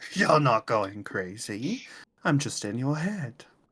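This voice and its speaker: A man does a put-on character voice that is raspy, at a medium pitch and a fairly slow pace. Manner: eerie, taunting.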